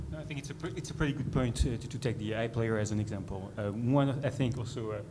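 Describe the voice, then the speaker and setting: A man with a European accent talks at a very fast pace and medium pitch with ordinary pitch variation, amid noticeable background noise and audible room echo. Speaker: conference panelist. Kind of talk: panel discussion. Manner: halting, many fillers and restarts.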